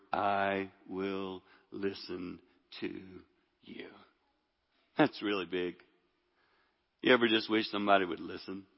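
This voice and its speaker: A man talks at a fairly slow pace with a fairly low pitch and monotone, flat intonation. Long, frequent pauses break his speech, and his loudness swings widely. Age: 60s. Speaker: preacher. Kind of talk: sermon. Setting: church with congregation.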